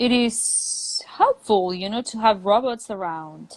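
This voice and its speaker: A woman with a Spanish accent, fairly high in pitch, lively in intonation and very slow in pace. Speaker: English teacher. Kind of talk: casual chat. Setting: live video stream.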